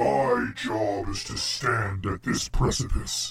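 In a put-on character voice, a man speaks very slowly with a weary tone. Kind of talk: epic fantasy god voice. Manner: grave, imposing, weary.

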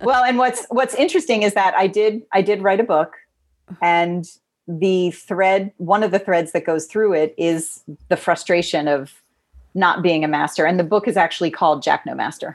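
A woman talks in a normal speaking voice at medium pitch, with ordinary pitch variation, a moderate pace and very even loudness. The recording is very clean, with a silent background. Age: 40s. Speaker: marketing strategist and figure skater. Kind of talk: interview conversation.

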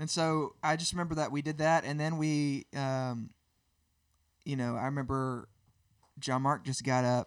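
Southern US accent from a man at a fairly high pitch, moderate pace, fairly even intonation and long, frequent pauses. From Birmingham, Alabama. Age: 30s. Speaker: worship musician. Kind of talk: casual interview.

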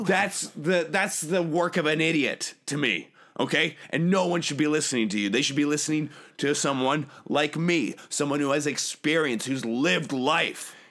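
A man talks at a moderate pace in a fairly high voice with ordinary pitch variation. The recording is very clean, with a silent background. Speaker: podcast guest claiming the host role. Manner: abrasive, combative, blustery.

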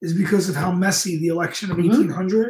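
Talking at a fairly quick pace, a man speaks with a New York accent. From Brooklyn, New York. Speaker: fitness coach and history graduate. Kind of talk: casual live-stream chat. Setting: live video stream.

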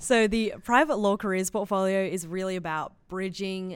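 A woman speaks at a medium pitch and a fairly slow pace. The recording is very clean, with a silent background. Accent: Australian. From Australia. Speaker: law student, student society vice president. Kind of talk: casual chat.

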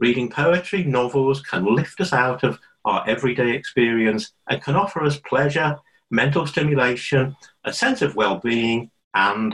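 A man with a Liverpool accent speaks at a moderate pace in a medium pitch, his intonation lively and his loudness very even. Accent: Liverpudlian. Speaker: adult education tutor. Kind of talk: casual interview chat.

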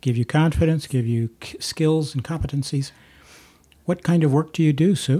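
A somewhat breathy voice with a dark, mellow tone and ordinary pitch variation, moving at a moderate pace. The recording is very clean, with a silent background. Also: man, fairly high pitch for a man. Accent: American. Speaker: podcast host. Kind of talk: interview. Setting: in-person recording at an office.

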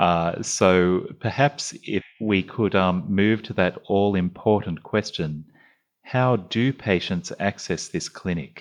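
Over a quiet background, a man with an Australian accent speaks very slowly at a fairly low pitch, using ordinary pitch variation. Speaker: GP and podcast host. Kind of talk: moderated panel discussion.

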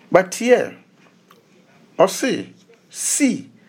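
A man speaks with a Ghanaian accent. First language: Twi. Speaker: pastor. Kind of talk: sermon. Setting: radio broadcast.

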